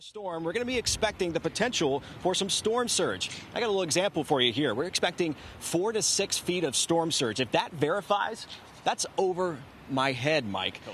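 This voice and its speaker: A man speaks at a high pitch with lively intonation. There is noticeable background noise. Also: moderate pace. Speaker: broadcast meteorologist. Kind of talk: TV weather forecast broadcast. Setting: outdoors or studio, live weather segment during a tropical storm.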